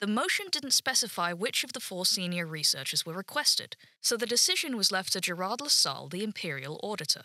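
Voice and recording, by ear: Someone reads the words aloud in a natural voice.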